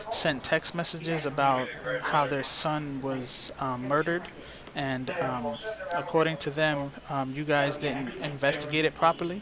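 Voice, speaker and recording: A man speaks fairly slowly with fairly even intonation and a fairly high pitch. Noticeable background noise runs underneath. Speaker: citizen journalist. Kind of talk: phone call to police department. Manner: hesitant, many fillers.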